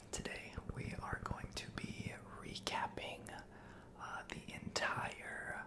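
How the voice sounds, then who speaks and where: A man whispering in a relaxed tone, with noticeable background noise. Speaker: ASMR content creator. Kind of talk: ASMR sports recap, whispered. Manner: whispered, relaxed, casual, with filler words.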